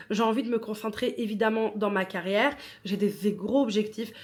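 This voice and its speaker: A woman with a non-native accent, fairly high pitch and monotone, flat intonation. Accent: non-native French speaker. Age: 30s. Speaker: podcast host. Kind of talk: casual monologue.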